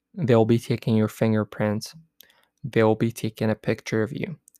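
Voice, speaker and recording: A man's medium-pitched voice, dark and mellow in tone, comes through with a dry, close sound and no echo. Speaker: podcast host. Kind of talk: solo podcast monologue about travel. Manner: casual, chatty, filler words.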